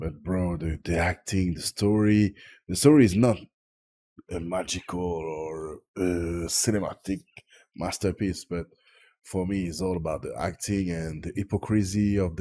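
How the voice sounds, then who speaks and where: A man's very deep, low pitch in a dark, mellow tone with a French accent, fairly even intonation and a fairly slow pace, in a very clean recording with a silent background. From Tahiti, French Polynesia. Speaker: film reviewer. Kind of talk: casual video review. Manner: halting, searching for English words.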